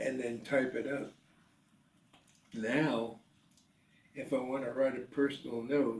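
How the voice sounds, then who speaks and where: Slowly and in a flat monotone, a man speaks at medium pitch with long, frequent pauses. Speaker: retired businessman and writer. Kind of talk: interview answer. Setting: home.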